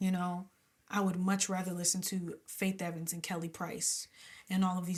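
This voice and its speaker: A woman speaks at a fairly low pitch and moderate pace, somewhat breathy. The recording is very clean, with a silent background. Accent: American. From New Jersey. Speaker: gospel and R&B singer. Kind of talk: interview. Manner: animated.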